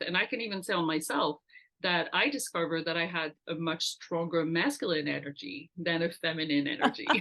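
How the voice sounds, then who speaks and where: A woman with a French accent, her pitch fairly low, at a moderate pace. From France. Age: 50s. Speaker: entrepreneur and network founder. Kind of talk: interview.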